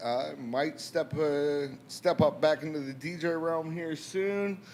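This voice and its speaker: This man's voice sits at a fairly high pitch. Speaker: DJ and silent disco company owner. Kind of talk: casual chat. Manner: soft-spoken.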